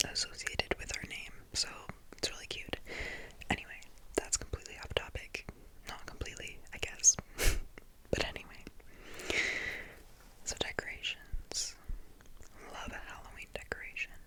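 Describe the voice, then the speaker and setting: A woman whispers at a moderate pace with big swings in loudness and long, frequent pauses over noticeable background noise. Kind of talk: ASMR whisper ramble, casual talk to camera. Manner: whispered, soft-spoken, chatty.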